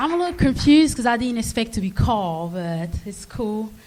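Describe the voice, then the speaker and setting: A woman with an African accent and a fairly high pitch, in audible room echo. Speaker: amateur comedian. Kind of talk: stand-up. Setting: stage with live audience.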